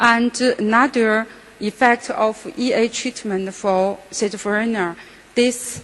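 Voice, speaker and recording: A woman speaks at a very slow pace. Her pitch is fairly high and her intonation fairly even. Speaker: psychiatrist. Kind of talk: conference lecture. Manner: halting.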